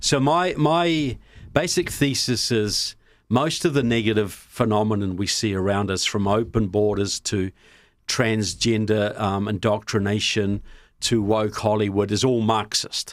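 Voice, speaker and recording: A man speaks in a New Zealand accent at a fairly slow pace, with a fairly low pitch and ordinary pitch variation. The recording is very clean, with a silent background. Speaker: political filmmaker and author. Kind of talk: podcast interview.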